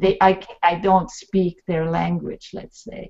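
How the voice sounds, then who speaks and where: Speaking at a fairly slow pace, a woman talks in a Swedish accent. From Sweden. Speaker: talk show host and author. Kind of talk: panel discussion on video call.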